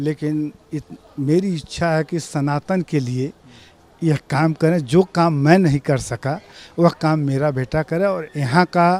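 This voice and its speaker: A man talks in a normal speaking voice. His intonation stays fairly even. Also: dry, close sound with no echo. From eastern Uttar Pradesh, Gorakhpur. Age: 60s. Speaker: devotee, school owner. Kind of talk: interview testimony.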